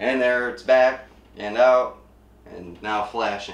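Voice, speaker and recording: The room gives off an audible echo. The pace is fairly slow. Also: man. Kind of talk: tutorial. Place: kitchen.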